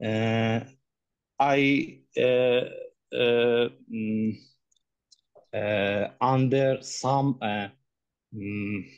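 A man with an Iranian accent talks at a medium pitch and a very slow pace, with fairly even intonation and long, frequent pauses. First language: Persian. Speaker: human rights activist. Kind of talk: testimony. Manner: halting.

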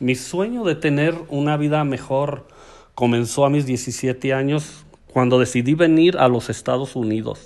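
A fairly high-pitched man with a Mexican accent, at a fairly slow pace with ordinary pitch variation. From Aguascalientes, Mexico. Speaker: community promoter, storyteller.

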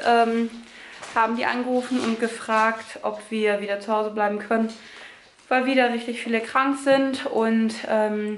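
Against audible room echo and light background noise, a woman with a high pitch speaks at a moderate pace with fairly even intonation. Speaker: family vlogger. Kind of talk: casual vlog chat. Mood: calm, slightly annoyed. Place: home room. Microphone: phone near.

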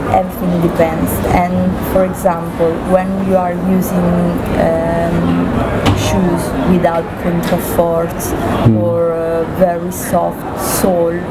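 Over loud background noise, a woman speaks very slowly, pausing long and often. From central Italy. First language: Italian. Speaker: shoe company commercial director. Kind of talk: interview. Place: hall.

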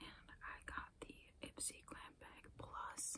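Whispering is all that comes from this woman. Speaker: beauty ASMR creator. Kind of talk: ASMR whisper ramble. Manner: whispered. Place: home room. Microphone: phone near.

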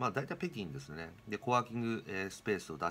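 A man's very fast speech with very wide pitch swings, a fairly low pitch and a bright, sharp tone. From Japan. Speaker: real estate tech company presenter; presenter. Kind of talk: explainer video monologue. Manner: casual, many fillers. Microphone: webcam.

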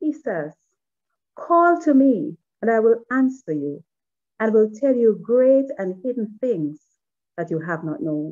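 Against a quiet background, a woman's fairly high voice, dark and mellow in tone, moves through very wide pitch swings. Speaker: devotion leader. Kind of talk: devotional reading. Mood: earnest, prayerful. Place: home room. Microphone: webcam.

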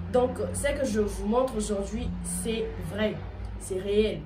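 There is noticeable noise in the background. A woman talks through it. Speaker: video blogger. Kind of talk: casual vlog tutorial. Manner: casual, hesitant with fillers.

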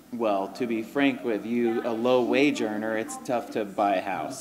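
A man speaks fairly slowly with fairly even intonation. Noticeable background noise is present. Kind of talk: interview answer. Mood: relaxed, reflective. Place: cafe. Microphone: handheld.

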